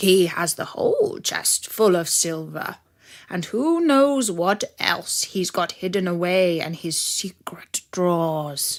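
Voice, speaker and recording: A put-on character voice speaks at a fairly slow pace with ordinary pitch variation. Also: woman, medium pitch for a woman. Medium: read story. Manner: bossy, self-important.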